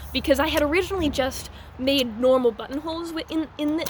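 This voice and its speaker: The speaker is a woman. Noticeable background noise can be heard. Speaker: SCA heavy armored fighter. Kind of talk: casual talk to camera. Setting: indoor basketball court. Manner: fast-talking at times.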